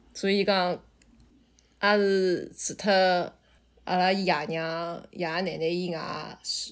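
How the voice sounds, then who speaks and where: A woman's voice at a medium pitch, with ordinary pitch variation. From Shanghai, China. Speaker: podcast guest. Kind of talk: casual chat.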